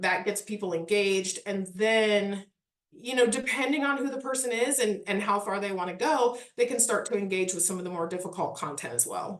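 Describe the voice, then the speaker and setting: A woman with a Midwestern accent speaks at a medium pitch with ordinary pitch variation. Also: fairly quick pace. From US Midwest. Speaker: parks historic resources manager. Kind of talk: casual interview.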